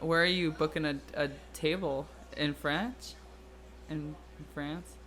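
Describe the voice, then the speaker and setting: Very slow speech broken by long, frequent pauses. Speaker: streamer and podcast host. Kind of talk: casual live stream chat. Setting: live stream. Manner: loud; animated.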